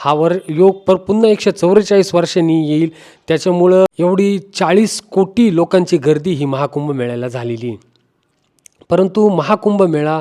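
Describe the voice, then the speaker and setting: Ordinary pitch variation from a man with a high pitch and a dark, mellow tone. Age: 40s. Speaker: travel vlogger. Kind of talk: tutorial.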